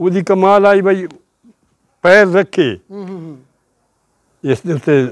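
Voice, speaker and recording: This man's voice sits at a high pitch and moves with ordinary pitch variation. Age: 80s+. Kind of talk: interview answer.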